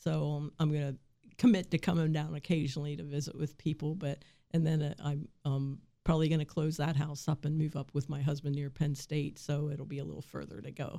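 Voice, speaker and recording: A woman with an American accent speaks fairly quickly in a very deep, low pitch, her dark, mellow tone and fairly even intonation captured in a very clean recording with a silent background. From Shenandoah Valley, West Virginia. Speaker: agricultural extension agent. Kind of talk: radio interview. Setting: radio studio.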